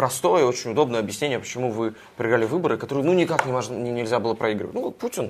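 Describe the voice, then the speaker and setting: This man talks very fast in a medium-pitched voice whose pitch varies in an ordinary way. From Russia. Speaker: journalist, US correspondent. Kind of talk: interview.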